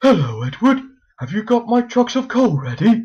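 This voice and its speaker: A cartoonish character voice, fairly high in pitch. It moves at a moderate pace. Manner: fretful, stammering.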